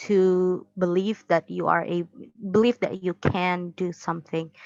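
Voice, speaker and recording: In a quiet background with a dry, close sound and no echo, a woman speaks at a fairly slow pace. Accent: Indonesian. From Indonesia. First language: Indonesian. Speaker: university student. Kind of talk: interview. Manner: halting.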